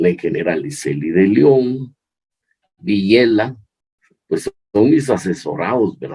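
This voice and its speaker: Speaking at a fairly slow pace, a man uses very wide pitch swings and vocal fry in a dark, mellow tone. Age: 70s. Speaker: chemical engineering professor. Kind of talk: interview. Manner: halting, many fillers.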